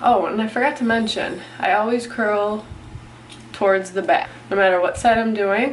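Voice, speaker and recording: A woman speaks at a fairly slow pace. Her medium pitch shows ordinary variation. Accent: Midwestern American. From Southeast Michigan. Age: 20s. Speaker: beauty and fitness vlogger. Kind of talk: casual talk to camera.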